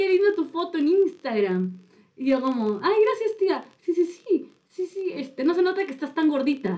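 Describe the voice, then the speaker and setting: Her dark, mellow tone swings very widely in pitch as this woman speaks at a moderate pace. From Peru, Chiclayo then Lima. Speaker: podcast co-host. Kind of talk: casual chat. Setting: studio.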